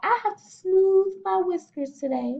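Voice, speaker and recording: At a moderate pace, a put-on character voice speaks at an extremely high pitch. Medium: read story.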